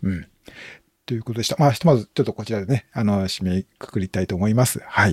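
Dry, close sound with no echo carries a man talking at a very fast pace. His pitch is fairly low, with ordinary pitch variation. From Japan, Shiga Prefecture (Nagahama). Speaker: podcast host. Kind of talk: casual chat. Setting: online audio room.

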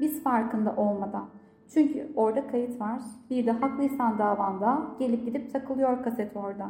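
With music in the background and audible room echo, a woman speaks at a moderate pace in a high pitch with ordinary pitch variation. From Turkey, Gaziantep. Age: 30s. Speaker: professional coach. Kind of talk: personal testimony in interview.

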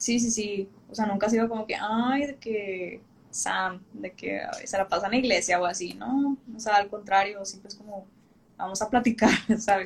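The woman's voice is somewhat breathy, with ordinary pitch variation. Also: medium pitch for a woman, moderate pace. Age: 20s. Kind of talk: casual interview on a livestream.

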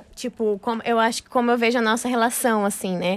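A woman's fairly high pitch carries ordinary pitch variation in an ordinary speaking voice. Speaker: podcast co-host, dancer. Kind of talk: casual chat. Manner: laughs often.

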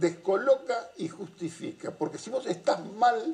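Amid noticeable background noise, a man talks at a fairly slow pace with ordinary pitch variation. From Argentina, Buenos Aires area (Avellaneda). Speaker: political analyst. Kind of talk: casual chat.

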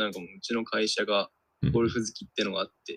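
A man with a plain, everyday voice and a medium pitch talks at a fairly quick pace. The sound is dry and close, with no echo. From Tokyo, Japan. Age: 20s. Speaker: podcast co-host. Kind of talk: casual chat.

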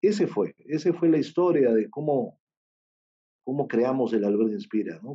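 The speaker has an unremarkable speaking voice and moves at a moderate pace. The intonation is lively. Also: man. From Peru. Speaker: surgeon and charity founder. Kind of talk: interview.

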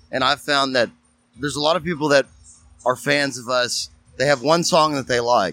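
This man speaks at a moderate pace in a Texan accent, his medium-pitched voice bright and sharp in tone, with ordinary pitch variation. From Texas, Huffman. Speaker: guitarist. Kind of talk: casual chat.

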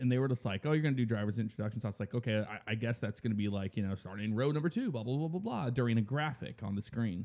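The recording is very clean and the background is silent. A man talks with ordinary pitch variation. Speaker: podcast host. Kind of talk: casual chat.

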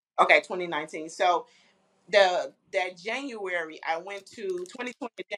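A woman speaks at medium pitch and a moderate pace, in an unremarkable speaking voice with ordinary pitch variation and big swings in loudness. The sound is dry and close with no echo. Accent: American. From Flint, Michigan. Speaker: clothing line founder. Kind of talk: interview. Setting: video call.

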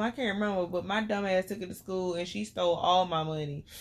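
In a Southern US accent, a woman talks at a very fast pace. Her medium pitch holds a fairly even intonation. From Albany, Georgia. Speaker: podcast co-host. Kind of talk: casual chat with her husband, podcast banter.

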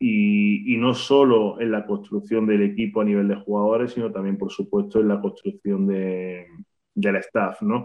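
In a monotone, flat intonation, the words come at a fairly slow pace. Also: man, fairly low pitch for a man. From Spain, Granada. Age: 30s. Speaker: basketball coach. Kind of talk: interview.

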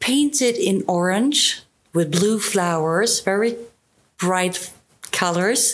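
A woman's medium-pitched voice in a Swedish accent, very slow with long, frequent pauses and lively intonation. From southern Sweden. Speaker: travel YouTuber. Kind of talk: casual interview.

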